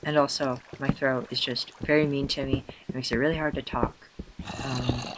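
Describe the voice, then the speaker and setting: There is noticeable background noise. The talking proceeds at a moderate pace. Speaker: gaming YouTuber. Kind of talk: let's play commentary. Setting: home recording at night. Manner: halting.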